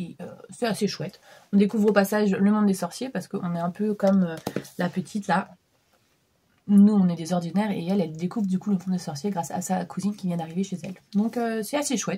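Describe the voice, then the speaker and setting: A very fast-paced woman's voice at medium pitch. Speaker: book vlogger. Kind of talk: casual vlog book review. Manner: hesitant, many fillers.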